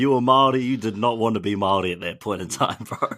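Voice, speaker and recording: A man with a New Zealand accent speaks fairly quickly in a bright, sharp tone at a medium pitch, captured on a very clean recording with a silent background. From New Zealand, Taranaki. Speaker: podcast host. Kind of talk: podcast interview.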